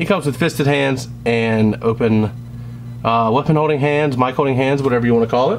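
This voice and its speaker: The speech moves at a fairly quick pace with very even loudness. Noticeable background noise runs underneath. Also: man, medium pitch for a man, ordinary pitch variation. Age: 20s. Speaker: toy reviewer. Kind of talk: product review. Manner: casual, hesitant with fillers.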